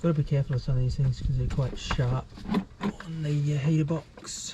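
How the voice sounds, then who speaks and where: The delivery goes at a medium speed. Background noise can be clearly heard. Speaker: DIY car mechanic. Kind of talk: tutorial. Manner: soft-spoken.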